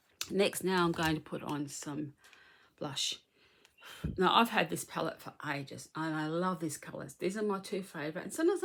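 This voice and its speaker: This woman has a plain, everyday voice, fairly low in pitch. She talks at a fairly quick pace with ordinary pitch variation. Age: middle-aged. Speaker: beauty vlogger. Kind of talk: makeup tutorial. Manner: casual, chatty.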